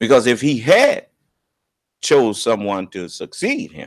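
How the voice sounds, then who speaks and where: Words come at a very slow pace from this man. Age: 60s. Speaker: religious leader and teacher. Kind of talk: religious teaching broadcast. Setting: live online video broadcast. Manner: halting, repeats words.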